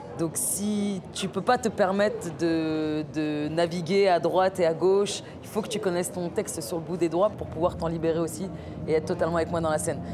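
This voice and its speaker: Fairly low in pitch, a woman speaks at a moderate pace. Noticeable background noise runs underneath. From Paris suburbs (banlieue), France. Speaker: actress. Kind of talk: interview. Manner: animated, with frequent repetitions.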